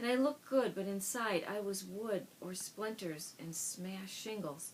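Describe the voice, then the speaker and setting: A woman speaks at a medium pitch and a moderate pace, with noticeable background noise around her. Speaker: author and brain injury survivor. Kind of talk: reading aloud from own book. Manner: stutters at times; hesitant, with fillers.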